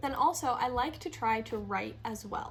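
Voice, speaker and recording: Noticeable background noise sits behind this woman as she talks fairly slowly. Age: 20s. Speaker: lifestyle YouTuber and life coach. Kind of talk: casual talk to camera.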